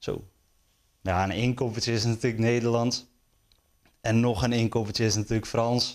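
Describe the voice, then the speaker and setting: A man talks at a moderate pace in a monotone, flat intonation, with long, frequent pauses, very even loudness and a quiet background. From Netherlands, North Holland (Stroet); North Holland, Netherlands. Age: 20s. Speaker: sports journalist; sports journalist guest. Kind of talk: interview; interview answer. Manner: hesitant, many fillers. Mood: relaxed, friendly. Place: studio.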